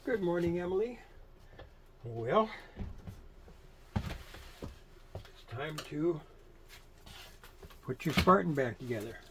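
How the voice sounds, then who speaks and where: A man's fairly high voice at a very slow pace, with very wide pitch swings and long, frequent pauses. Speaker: sewing machine restorer. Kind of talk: casual tutorial talk to camera. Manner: rambling, hesitant, with long pauses.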